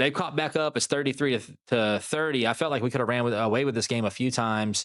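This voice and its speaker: A man rattles off words at a very fast pace, his medium pitch showing ordinary variation. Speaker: gaming YouTuber. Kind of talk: gameplay commentary. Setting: at home in the middle of the night. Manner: quiet, soft-spoken.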